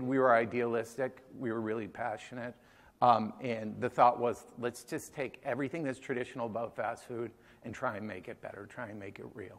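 Moderate pace from a man with an American accent, medium pitch, fairly even intonation and big swings in loudness. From Massachusetts, Boston area (Newton); Massachusetts. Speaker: chef and restaurant co-founder; conference presenter. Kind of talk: conference talk. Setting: stage with audience. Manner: hesitant, many fillers. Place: hall.

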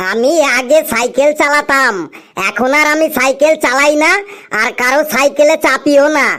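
A female-sounding cartoonish character voice, high in pitch, at a moderate pace. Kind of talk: comic cartoon dialogue. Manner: earnest, self-satisfied reasoning.

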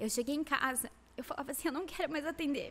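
A woman speaks with ordinary pitch variation. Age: 30s. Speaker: lash designer and educator; educator. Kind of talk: interview. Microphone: studio mic.

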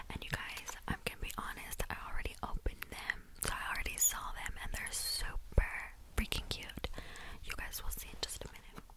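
A woman at a moderate pace, dry sound with no echo, over loud background noise. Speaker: ASMR creator. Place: home room. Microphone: studio mic.

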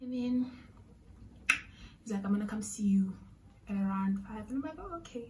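A woman with a dark, mellow tone sounds somewhat breathy, keeping her intonation fairly even against light background noise. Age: 20s. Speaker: vlogger. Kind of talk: storytime vlog to camera. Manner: casual, chatty. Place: home room. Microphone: phone near.

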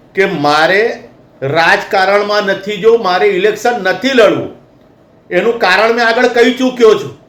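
Audible room echo surrounds a man whose high voice shows ordinary pitch variation. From Vadodara, Gujarat, India. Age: 50s. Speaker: activist spokesperson. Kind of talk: public statement to media. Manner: impassioned.

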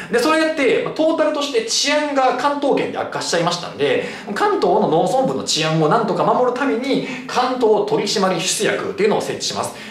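Audible room echo and light background noise surround a man speaking at an extremely high pitch. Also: fairly quick pace, hardly any pauses. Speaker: cram school history teacher. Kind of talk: lecture. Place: classroom.

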